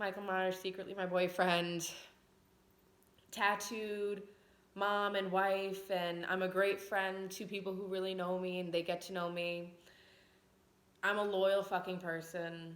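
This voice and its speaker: A woman's medium-pitched, monotone, flat voice with an American accent, at a fairly slow pace with long, frequent pauses and audible room echo. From Long Island, New York. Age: 20s. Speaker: vlogger. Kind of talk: casual personal vlog talk. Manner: conversational, frequent fillers.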